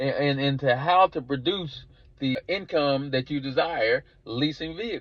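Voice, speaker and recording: A man speaks at a fairly slow pace. He has a strong Southern US accent. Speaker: car leasing business coach. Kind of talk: course introduction sales pitch. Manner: halting with frequent repetitions and fillers.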